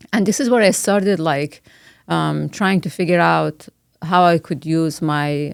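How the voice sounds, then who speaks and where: Recorded very cleanly with a silent background, a woman talks at a moderate pace with a fairly low pitch. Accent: Persian. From Iran. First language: Persian. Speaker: biomedical scientist and professor. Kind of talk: interview conversation. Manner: hesitant, many fillers.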